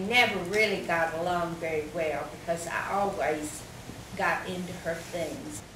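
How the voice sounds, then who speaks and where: A woman with an American accent talks at a fairly slow pace and a fairly low pitch. Her pitch variation is ordinary, and noticeable background noise can be heard. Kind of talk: oral history interview answer.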